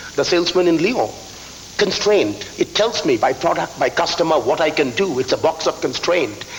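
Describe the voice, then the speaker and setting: A high-pitched man with an Indian accent, lively intonation, very even loudness and a moderate pace, against noticeable background noise. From eastern India, Calcutta. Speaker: business school professor. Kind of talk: conference speech. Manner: repeats words, slight stammer.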